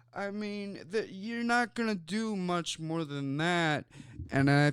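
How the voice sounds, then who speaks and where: With lively intonation and an American accent, a man speaks at a very slow pace and a high pitch. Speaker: sports talk show host. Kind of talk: casual sports talk show. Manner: casual, with fillers and stammers.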